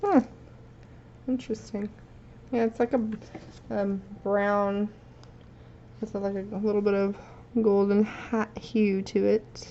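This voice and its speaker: A woman speaks at a medium pitch in a monotone, flat intonation, at a very slow pace with long, frequent pauses. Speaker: resin artist. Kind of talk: tutorial.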